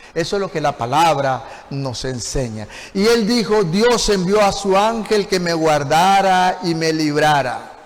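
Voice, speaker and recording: Noticeable background noise and audible room echo surround a man speaking. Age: 60s. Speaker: pastor. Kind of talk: sermon.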